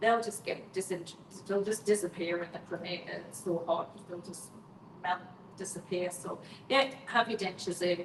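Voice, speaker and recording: A woman speaks at a moderate pace with fairly even intonation. Noticeable background noise is present. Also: medium pitch for a woman. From northeast England, County Durham. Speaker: mortician. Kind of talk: live stream Q&A. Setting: live stream.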